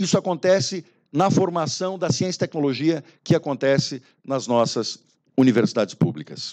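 The speaker is a man with a high pitch. The background is quiet. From Brazil. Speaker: university rector. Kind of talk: formal speech at a meeting. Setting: meeting room with audience. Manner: formal. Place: hall.

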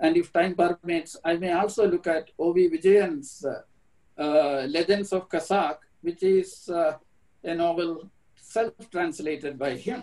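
A man speaks very slowly in a Keralan accent, his pitch high. His intonation stays fairly even against a quiet background. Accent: Indian English (Malayali). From India, Kerala. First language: Malayalam. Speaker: professor. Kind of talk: lecture. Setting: video call. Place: home room. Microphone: webcam.

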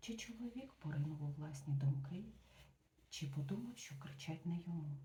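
The voice is quiet and moves at a moderate pace. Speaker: ASMR book reader. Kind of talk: reading aloud. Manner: quiet voice; soft-spoken.

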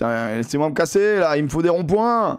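Against a quiet background, a man speaks in an animated tone with very wide pitch swings. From southern France (near Montpellier); southern France. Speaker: gaming streamer. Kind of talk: live gaming stream commentary. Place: home room. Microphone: headset.

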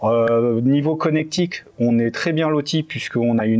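Pitch varies in an ordinary way. The pace is moderate. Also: man. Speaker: audio equipment show co-host. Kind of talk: casual product review chat. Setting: studio. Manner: hesitant, filler-heavy. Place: studio.

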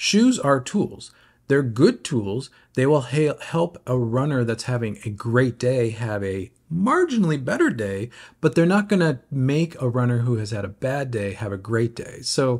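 Somewhat breathy male voice at a fairly slow pace against a quiet background. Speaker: running shoe commentator. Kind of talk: casual vlog commentary. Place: home room. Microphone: phone near.

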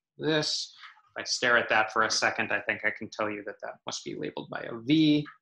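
A fairly quick man with an American accent and big swings in loudness. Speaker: mathematics professor. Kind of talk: lecture. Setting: video call.

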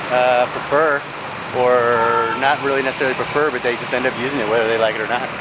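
A man talking at a very fast pace, dry sound with no echo, loud background noise behind him. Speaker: travel vlogger. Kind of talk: casual vlog chat. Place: street. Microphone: phone near.

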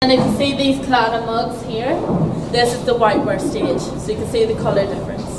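A woman talks at a fairly quick pace with a fairly high pitch and ordinary pitch variation. Clear background noise and audible room echo are present.

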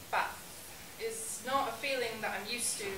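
Against noticeable background noise, someone talks at a fairly slow pace. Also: woman. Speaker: spoken word poet. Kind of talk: spoken word poetry performance. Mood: earnest, emotional. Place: bar. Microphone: camera far.

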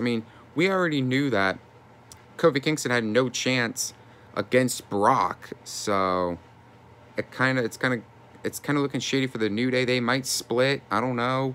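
With an animated, bright and sharp tone, a man of medium pitch speaks at a moderate pace, his pitch varying in an ordinary way. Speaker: YouTuber wrestling commentator. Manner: animated, indignant, exasperated. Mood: frustrated, disappointed. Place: home room. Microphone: phone near.

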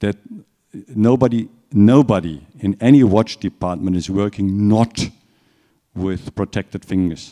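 A man with a German accent, fairly low in pitch with a dark, mellow tone, ordinary pitch variation, a moderate pace and a quiet background. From Germany. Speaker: watch company executive. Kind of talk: lecture. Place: hall.

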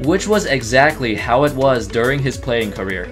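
Music plays behind a man speaking at a moderate pace. His intonation is lively. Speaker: video narrator. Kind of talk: narrated sports story.

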